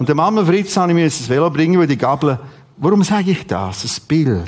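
A man speaks with a Swiss accent. His pitch is fairly high. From Switzerland, Aargau (Rothrist). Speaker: preacher. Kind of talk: sermon. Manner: animated.

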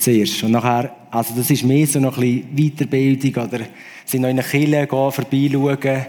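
A man speaks at a moderate pace and medium pitch with monotone, flat intonation. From Switzerland. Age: 40s. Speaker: musician. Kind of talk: testimony.

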